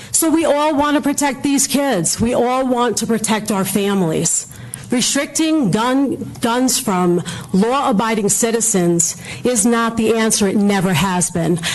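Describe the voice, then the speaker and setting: Over noticeable background noise and audible room echo, a woman with a fairly high pitch speaks at a fairly slow pace, lively in intonation and very even in loudness. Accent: American. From New York, Brooklyn. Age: old. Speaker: public commenter, medical professional. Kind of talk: public comment speech. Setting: council meeting hall. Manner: animated.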